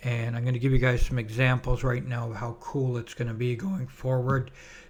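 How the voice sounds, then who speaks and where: This man sounds somewhat breathy. His pitch is medium. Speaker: stock trader and trading-room host. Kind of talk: trading tutorial. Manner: casual with many fillers.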